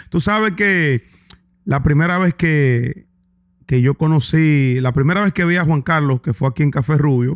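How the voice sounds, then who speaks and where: Speaking at a fairly slow pace, a man with a normal speaking voice and a fairly high pitch keeps very even loudness and ordinary pitch variation in a dry, close sound with no echo. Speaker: podcast host. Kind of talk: interview.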